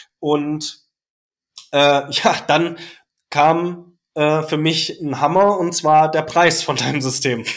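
Speech comes at a very slow pace with long, frequent pauses and fairly even intonation. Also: man, fairly high pitch for a man. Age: 30s. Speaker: teacher. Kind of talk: casual chat. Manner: hesitant, many filler sounds.

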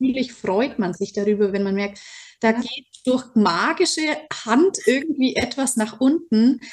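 Lively intonation marks this fairly slow delivery. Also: woman, high pitch for a woman. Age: 30s. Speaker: teacher and program participant. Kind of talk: interview testimony.

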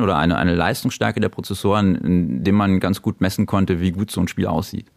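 A voice speaking at a fairly quick pace with ordinary pitch variation. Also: man. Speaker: video game shop owner. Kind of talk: casual interview. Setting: in his shop.

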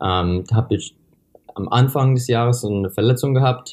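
Medium-pitched man's voice with a dark, mellow tone at a moderate pace. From USA. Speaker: middle-distance runner. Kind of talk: interview. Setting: remote call from a hotel. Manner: halting.

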